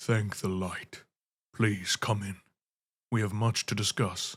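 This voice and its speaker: Putting on a character voice, a man speaks at a fairly low pitch with monotone, flat intonation. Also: fairly slow pace. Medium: read story. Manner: grave, formal.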